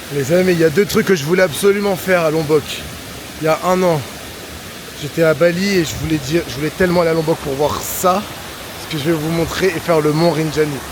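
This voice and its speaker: A fairly high-pitched man at a fairly quick pace with long, frequent pauses, over noticeable background noise. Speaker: travel vlogger. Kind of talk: travel vlog narration to camera. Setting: outdoors at a waterfall. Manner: animated.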